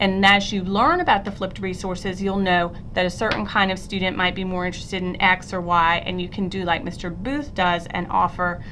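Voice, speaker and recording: A woman's medium-pitched voice at a fairly quick pace, with fairly even intonation, audible room echo and noticeable background noise. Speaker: middle school teacher. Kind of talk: recorded presentation screencast. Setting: screencast recording.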